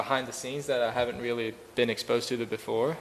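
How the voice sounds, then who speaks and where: Amid noticeable background noise and audible room echo, a man talks at a fairly quick pace in a flat monotone. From Sweden. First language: Swedish. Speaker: professional golfer. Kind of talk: press conference. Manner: hesitant, many fillers.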